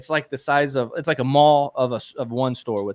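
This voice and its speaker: On a very clean recording with a silent background, a man with an American accent and an ordinary speaking voice talks at a fairly quick pace, medium in pitch with ordinary pitch variation. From Texas. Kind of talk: casual live Q&A chat.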